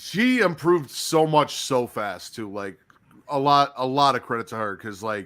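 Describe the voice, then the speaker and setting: An ordinary speaking voice from a man with an American accent, medium in pitch, with lively intonation and big swings in loudness, on a very clean recording with a silent background. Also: moderate pace. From Chicago area, US Midwest. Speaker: wrestling YouTube host. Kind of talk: casual chat.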